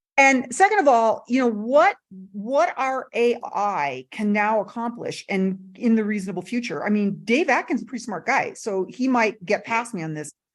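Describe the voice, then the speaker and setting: At a moderate pace and with hardly any pauses, a woman speaks in a fairly high, animated voice with lively intonation. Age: 60s. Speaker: MI trainer. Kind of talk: panel discussion.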